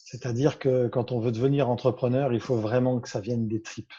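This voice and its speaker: A man's somewhat breathy voice, medium in pitch, with a dark, mellow tone, over a quiet background. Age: 50s. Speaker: business consultant. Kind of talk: interview. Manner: hesitant, many fillers.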